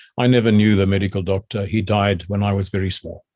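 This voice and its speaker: At a fairly quick pace, a man speaks with a fairly low pitch and a dark, mellow tone on a very clean recording with a silent background. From South Africa (Boksburg, East London, Bloemhof). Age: 70s. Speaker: retired army general. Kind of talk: oral history interview. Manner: halting, many fillers and restarts.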